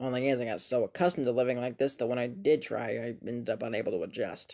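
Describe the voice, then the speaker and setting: A man talks in a put-on character voice at a very fast pace. The voice is raspy. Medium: cartoon. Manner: weary, sarcastic, gloomy.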